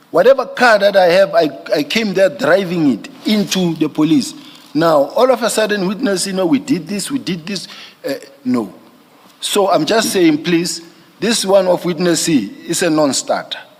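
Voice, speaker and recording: Lively in intonation, a man speaks at a moderate pace and a high pitch. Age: 50s. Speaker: witness at an inquiry, police general. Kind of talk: testimony. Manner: halting, repetitive.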